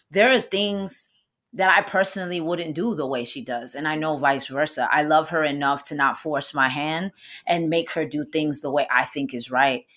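A woman with a New York accent talks at a moderate pace. Her tone is animated. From New York, the Bronx. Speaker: actress and minister. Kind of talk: casual chat.

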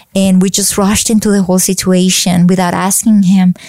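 A woman's dark, mellow, medium-pitched voice with a Colombian accent. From Colombia, Bogota. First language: Spanish. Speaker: faith speaker. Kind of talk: interview.

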